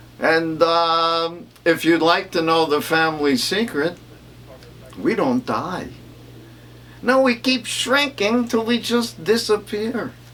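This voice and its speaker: Over noticeable background noise, a man talks at a fairly slow pace in a high voice with very wide pitch swings. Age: 80s+. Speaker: stand-up comedian. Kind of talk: stand-up.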